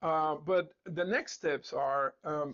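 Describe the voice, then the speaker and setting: A man is speaking. He talks with a non-native accent. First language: not English. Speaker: instructor and founder of a coding school. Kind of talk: live-streamed talk. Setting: Facebook live stream. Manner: hesitant, many fillers and repetitions.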